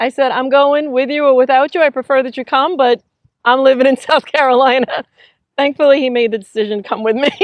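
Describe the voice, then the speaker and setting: Very fast speech with fairly even intonation, in a Long Island accent. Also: woman, high pitch for a woman. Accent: Long Island New York, lighter than host's. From Long Island, New York. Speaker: realtor. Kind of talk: casual interview chat. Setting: inside an RV.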